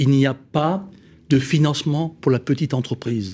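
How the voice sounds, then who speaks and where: A man with a fairly high pitch speaks at a fairly slow pace, somewhat breathy. The recording is very clean, with a silent background. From Alsace, France. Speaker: company founder, small business advocate. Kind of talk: round-table panel discussion.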